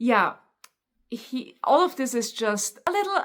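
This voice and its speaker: This is a woman speaking. She has a German accent. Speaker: book YouTuber. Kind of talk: casual book review, unscripted. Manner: halting, stumbles over words.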